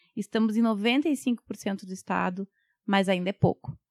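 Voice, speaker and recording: A woman speaks in an ordinary speaking voice at a fairly slow pace with medium pitch and ordinary pitch variation. The sound is dry and close, with no echo. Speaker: public defender. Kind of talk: interview.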